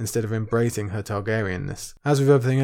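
Someone reads aloud in a natural voice, and the pitch varies by an ordinary amount.

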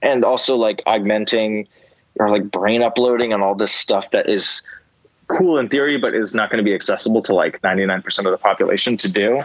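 A man with an American accent talks at a fairly quick pace and medium pitch. His loudness stays very even, with ordinary pitch variation. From US Northeast, New Jersey suburbs. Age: 20s. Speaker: musician. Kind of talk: casual interview conversation. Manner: hesitant, many fillers.

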